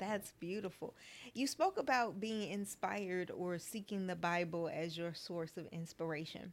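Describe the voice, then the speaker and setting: Talking at a moderate pace, a woman with an unremarkable speaking voice stays at medium pitch with ordinary variation. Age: 40s. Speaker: podcast host. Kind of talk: casual interview chat.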